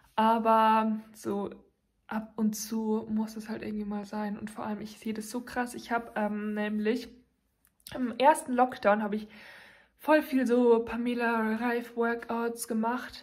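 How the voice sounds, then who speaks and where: Against a quiet background, a woman speaks fairly slowly in a somewhat breathy, flat monotone. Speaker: vlogger. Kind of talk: casual vlog chat. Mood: cheerful, chatty. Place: home room. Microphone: phone near.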